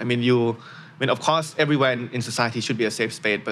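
The speaker talks with a Thai accent and ordinary pitch variation. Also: man. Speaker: education startup founder. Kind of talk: interview.

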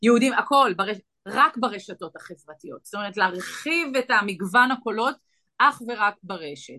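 A woman speaks at a fairly slow pace in a fairly high voice. Her tone is bright and sharp, with ordinary pitch variation. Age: 40s. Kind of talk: interview.

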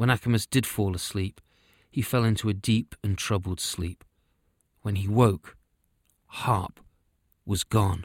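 A man's fairly low voice, fairly slow with long, frequent pauses and fairly even intonation, in a dry, close sound on a very clean recording with a silent background. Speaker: audio storyteller. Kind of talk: scripted fairy-tale narration, read aloud with character dialogue. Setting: podcast recording. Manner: measured, storytelling cadence.

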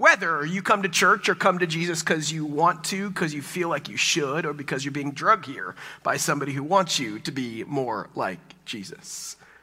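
This man has an American accent and a bright, sharp tone. He speaks at a moderate pace, fairly high in pitch, with lively intonation. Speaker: pastor. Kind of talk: sermon. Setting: church.

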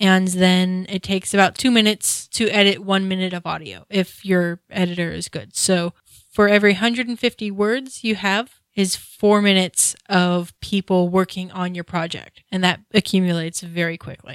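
An ordinary speaking voice moves at a moderate pace with hardly any pauses and fairly even intonation. The recording is very clean, with a silent background and a dry, close sound with no echo. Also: woman, medium pitch for a woman. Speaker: podcast co-host, author. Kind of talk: casual chat.

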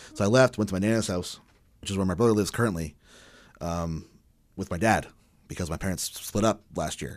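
With a Canadian accent, a man talks at a fairly quick pace in a fairly low pitch, with ordinary pitch variation and long, frequent pauses. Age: 30s. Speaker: musician. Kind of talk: casual chat. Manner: halting.

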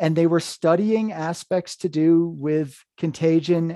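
A man's fairly high-pitched voice with a dark, mellow tone and an American accent, ordinary pitch variation, and a dry, close sound with no echo. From US Northeast, Hudson River Valley, New York. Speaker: horror podcast host and writer. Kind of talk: casual interview chat.

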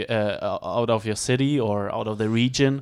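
With a German accent, a man speaks at a medium pitch and a fairly slow pace, with fairly even intonation, on a very clean recording with a silent background. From Germany.

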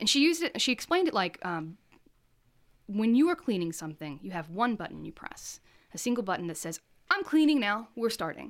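A woman with a medium pitch talks fairly quickly, her pitch swinging very widely and her loudness shifting a lot. The recording is very clean, with a silent background. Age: 30s. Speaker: art teacher and printmaker. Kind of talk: casual interview chat.

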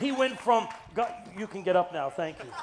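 Crowd noise fills the background as a man with an American accent speaks in a high voice, with a playful tone and ordinary pitch variation. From Massachusetts (Brockton). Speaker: preacher, urban ministry director. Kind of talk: guest sermon in church, Pentecostal-style preaching with congregational call-and-response. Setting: church service with congregation. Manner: playful, joking asides to the congregation; animated, exhorting preacher cadence with repetitions and rising calls for amens.

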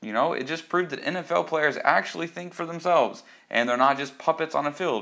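A man's bright, sharp voice at a fairly quick pace on a very clean recording with a silent background. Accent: American. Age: 20s. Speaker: podcast host, soldier. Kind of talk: opinion monologue.

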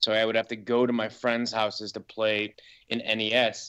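An ordinary speaking voice belongs to a man with a medium pitch. He keeps a moderate pace against a quiet background. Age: 30s. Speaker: filmmaker. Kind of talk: casual chat.

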